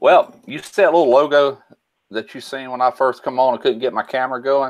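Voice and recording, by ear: At a fairly quick pace, a man speaks with a medium pitch. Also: ordinary pitch variation.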